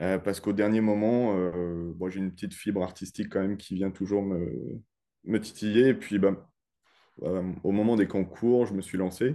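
Fairly even intonation carries a dark, mellow tone. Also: man, fairly low pitch for a man, moderate pace. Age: 30s. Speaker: insurance broker. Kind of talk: interview. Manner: hesitant, many fillers.

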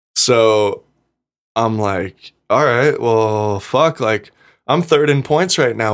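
A man with an American accent speaks in an ordinary speaking voice at medium pitch with ordinary pitch variation, in a very clean recording with a silent background. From Nevada, US (Gardnerville). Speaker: professional off-road motorcycle racer. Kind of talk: casual chat.

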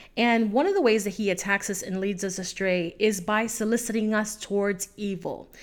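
A woman's normal speaking voice at a medium pitch and moderate pace, with fairly even intonation and hardly any pauses, on a very clean recording with a silent background. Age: 30s. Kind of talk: solo faith talk.

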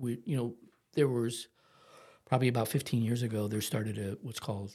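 In an American accent, a man talks at a fairly quick pace with medium pitch and fairly even intonation. His tone is dark and mellow, and somewhat breathy. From Ohio, US Midwest. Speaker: florist, family business owner. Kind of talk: podcast interview.

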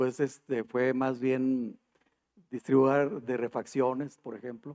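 A man's medium-pitched voice, dark and mellow in tone, at a very slow pace. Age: 50s. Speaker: HR manager. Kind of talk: interview.

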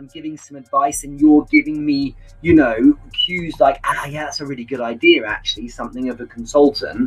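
Amid noticeable background noise, a man speaks at a fairly quick pace with big swings in loudness. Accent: British. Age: 40s. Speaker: sales trainer. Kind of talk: casual interview. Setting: live video stream.

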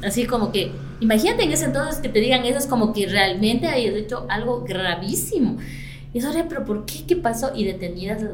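Over music in the background and with audible room echo, a woman speaks at a fairly high pitch and a fairly quick pace, her pitch swinging very widely. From Ecuador, Latacunga (highlands). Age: 40s. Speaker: salon and spa owner. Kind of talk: interview.

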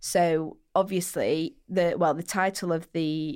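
In a very clean recording with a silent background, a woman speaks with a Mancunian accent. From Manchester, England. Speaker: skincare podcast co-host. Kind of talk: casual chat; sponsor read. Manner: animated.

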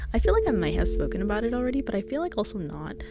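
Very fast speech with audible room echo and music in the background. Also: woman. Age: 20s. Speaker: solo podcaster. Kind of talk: casual personal monologue. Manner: chatty, laughs often.

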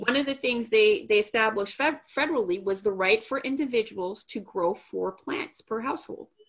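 A woman has an ordinary speaking voice, fairly high in pitch. Her intonation is lively. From Montreal, Canada. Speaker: podcast host. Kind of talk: casual interview.

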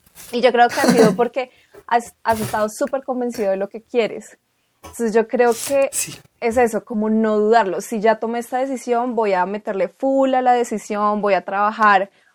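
Using a plain, everyday voice, a woman speaks at a moderate pace with a fairly high pitch and fairly even intonation, the sound dry and close with no echo. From Colombia, Bogotá. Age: 20s. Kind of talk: casual conversation.

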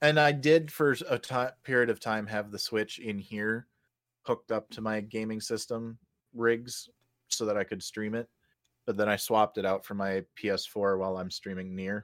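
At a moderate pace, a man with a plain, everyday voice speaks at a fairly low pitch with ordinary pitch variation, the sound dry and close with no echo. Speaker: podcast co-host. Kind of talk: casual chat.

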